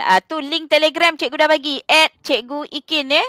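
A woman's voice, dry with no echo, over a quiet background. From Malaysia. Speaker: schoolteacher and live class moderator; online tuition host. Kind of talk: casual live stream hosting. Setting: studio. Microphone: headset.

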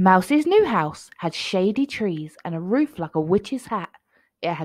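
The background is quiet as an unforced reading voice goes through the text.

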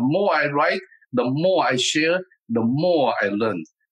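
A man with a Taiwanese accent, medium pitch and lively intonation. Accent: Taiwanese Mandarin-accented English. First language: Mandarin Chinese. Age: 70s. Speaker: martial arts master and author. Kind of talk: interview.

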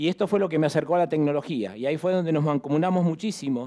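Over a quiet background, the speaker races along at a very fast pace with a dark, mellow tone and ordinary pitch variation. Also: man. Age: 50s. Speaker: real estate executive and lecturer; conference speaker. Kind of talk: conference presentation. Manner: animated. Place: hall. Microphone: headset.

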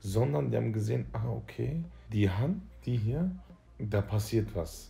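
Music plays in the background as a man speaks with a fairly low pitch. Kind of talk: casual vlog chat. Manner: groggy, slack, lying-down voice. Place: home room. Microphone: phone near.

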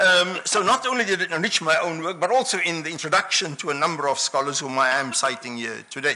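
Talking at a very fast pace with hardly any pauses, a man uses lively intonation and a fairly high pitch. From South Africa. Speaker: academic conference speaker. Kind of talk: lecture; panel discussion. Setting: stage with audience. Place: hall. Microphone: podium.

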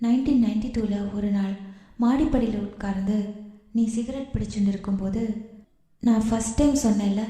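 What you hear is plain reading aloud.

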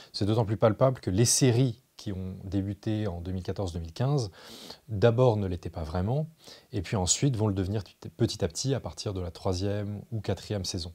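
Against a quiet background, a man with a fairly low pitch and a dark, mellow, somewhat breathy tone speaks at a moderate pace with ordinary pitch variation. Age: 30s. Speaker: journalist and essayist; journalist, interviewee. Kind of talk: interview. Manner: hesitant, many fillers and repetitions. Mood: calm, thoughtful. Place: studio.

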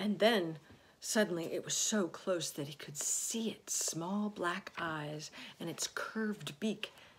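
The clip features a natural reading voice whose pitch varies in an ordinary way.

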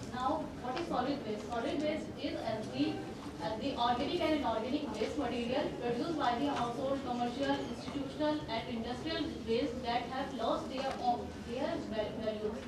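Amid loud background noise and audible room echo, a woman speaks at a moderate pace. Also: ordinary pitch variation. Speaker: conference presenter. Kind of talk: lecture. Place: hall.

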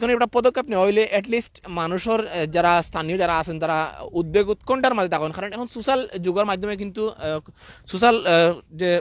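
A man speaks with a high-pitched voice and ordinary pitch variation. The sound is dry and close, with no echo. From Sylhet, Bangladesh. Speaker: live streamer reporting on floods. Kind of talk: live outdoor stream report. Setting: outdoors by a river. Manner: casual, chatty.

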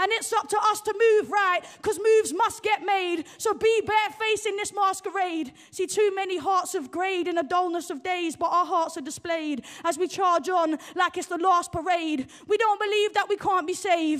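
The speaker goes on with hardly any pauses against a quiet background. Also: woman, extremely high pitch for a woman, moderate pace. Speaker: poet and playwright. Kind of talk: spoken word poetry performance. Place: stage. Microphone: handheld.

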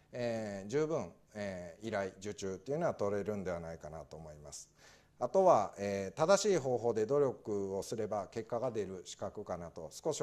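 A man speaks at a moderate pace in a fairly low pitch. His tone is dark and mellow, with lively intonation. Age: 40s. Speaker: administrative scrivener; guest lecturer. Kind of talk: talk to audience. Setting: lecture hall with audience. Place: classroom.

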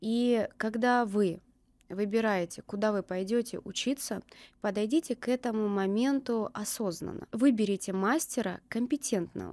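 In a dark, mellow tone, a woman speaks at a moderate pace and fairly high pitch with ordinary pitch variation, the sound dry with no echo. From Krasnodar, southern Russia; Russia. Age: 30s. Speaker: permanent makeup artist; guest. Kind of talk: interview. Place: studio. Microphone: studio mic.

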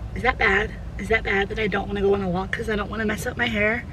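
Dry sound without echo, with noticeable background noise. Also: woman. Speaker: lifestyle vlogger. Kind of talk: casual vlog chat. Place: car. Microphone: phone near.

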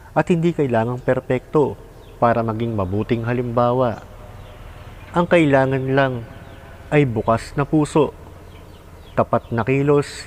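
A man speaks at a medium pitch and a fairly slow pace with ordinary pitch variation. His tone is calm, and noticeable background noise is present. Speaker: vlogger. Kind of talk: reflective monologue.

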